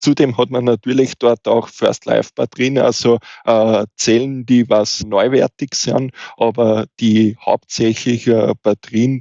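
Fairly even intonation at a fairly slow pace. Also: man. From eastern Austria, Wiener Neustadt. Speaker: fire safety officer. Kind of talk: podcast interview.

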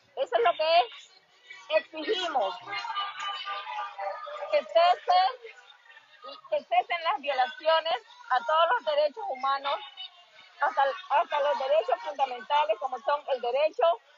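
A woman with a high pitch speaks with long, frequent pauses. The sound is dry with no echo, and faint music plays in the background. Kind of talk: livestream address to viewers. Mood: earnest, determined. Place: street. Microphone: earbuds.

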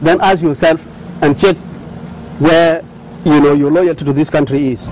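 Fairly quick pace amid noticeable background noise. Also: man. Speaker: oil company executive. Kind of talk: speech; interview. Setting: studio.

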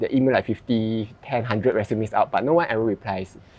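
A man's voice at a fairly quick pace. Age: 30s. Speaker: YouTube host. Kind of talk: interview conversation. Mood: relaxed, friendly. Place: garden. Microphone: lapel.

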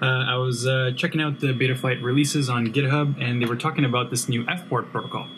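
A man talks at a very fast pace with hardly any pauses. His intonation stays fairly even over light background noise. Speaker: channel host. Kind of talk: casual tech vlog explanation. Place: home room.

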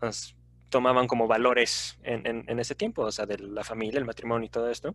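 A man speaks in a monotone with flat intonation, and the sound is dry with no echo. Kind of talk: class discussion on literature. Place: home room. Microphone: headset.

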